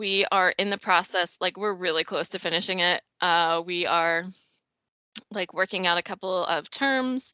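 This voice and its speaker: Against a quiet background, a woman's bright, sharp voice at medium pitch comes through with a dry, close sound with no echo and ordinary pitch variation. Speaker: government geographer giving a presentation. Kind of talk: conference presentation.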